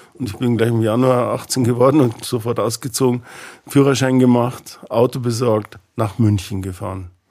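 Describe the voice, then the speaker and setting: A man speaks at a moderate pace and medium pitch in a plain, everyday voice. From Bavaria, Ingolstadt. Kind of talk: interview conversation.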